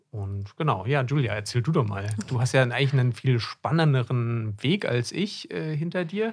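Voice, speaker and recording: At a medium pitch and a moderate pace, a man speaks in a somewhat breathy voice with lively intonation, captured in a very clean recording with a silent background. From Germany, Hesse. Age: 30s. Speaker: podcast co-host, doctor in GP training. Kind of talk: casual chat. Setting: studio.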